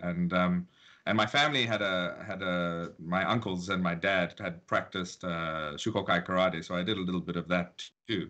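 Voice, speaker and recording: A very deep, low male voice, its intonation fairly even. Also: moderate pace. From South Africa. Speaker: martial arts teacher. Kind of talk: interview.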